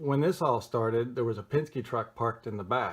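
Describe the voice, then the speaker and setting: A man's somewhat breathy voice at a medium pitch. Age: 60s. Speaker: vlogger narrating own dispute footage. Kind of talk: casual video commentary. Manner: halting, with many fillers.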